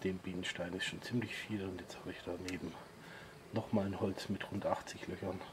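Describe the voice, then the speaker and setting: A man talks at a fairly slow pace with noticeable background noise around him. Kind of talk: casual vlog chat. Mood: relaxed, pleased. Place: garden. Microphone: phone near.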